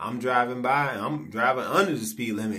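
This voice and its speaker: Here a man's tone is bright and sharp, with ordinary pitch variation. He moves at a fairly quick pace. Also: quiet background. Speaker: vlogger. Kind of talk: casual vlog rant. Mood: frustrated, indignant. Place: home room. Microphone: phone near.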